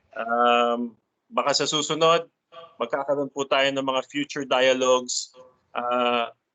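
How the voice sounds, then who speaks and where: A man with a Filipino accent speaks at a fairly slow pace. His voice is medium in pitch, with fairly even intonation. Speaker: meeting moderator. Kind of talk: formal meeting moderation. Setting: video call.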